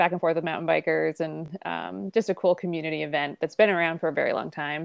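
Fairly quick and fairly low-pitched, a woman speaks with vocal fry in a dry sound with no echo against a quiet background. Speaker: podcast guest. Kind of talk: interview answer. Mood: friendly, smiling. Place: home room. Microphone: earbuds.

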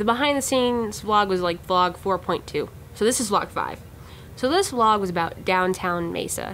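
Light background noise sits behind a woman who talks at a moderate pace with lively intonation. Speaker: vlog host. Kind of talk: casual vlog chat. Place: office. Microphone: phone near.

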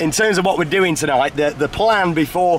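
Against faint background noise, a man with a fairly high pitch talks at a moderate pace with ordinary pitch variation.

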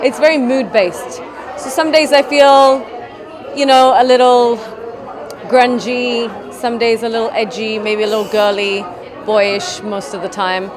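Against crowd noise in the background, a woman speaks at a fairly slow pace with ordinary pitch variation. Her pauses are long and frequent. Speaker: guest. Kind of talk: interview answer. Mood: relaxed, casual. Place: shop. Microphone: handheld.

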